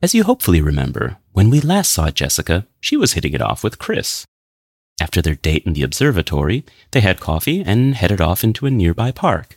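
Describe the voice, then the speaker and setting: A man with an American accent talks at a fairly quick pace in a very deep, low pitch with vocal fry and very wide pitch swings. The sound is dry and close, with no echo. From US Midwest, Minnesota. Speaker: English teacher. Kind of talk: scripted narration.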